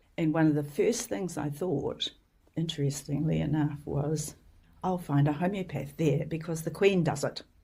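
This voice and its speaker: Her voice is very deep and low in pitch and somewhat breathy. The woman speaks at a moderate pace with ordinary pitch variation. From New Zealand. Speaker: homeopath and educator. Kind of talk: interview storytelling. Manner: engaging.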